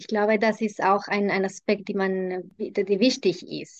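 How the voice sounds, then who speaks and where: A woman speaks with a Spanish accent. Her pitch is medium and her pace moderate. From Colombia. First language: Spanish (speaking German). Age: middle-aged. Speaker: intercultural consultant. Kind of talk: casual interview. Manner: halting with fillers.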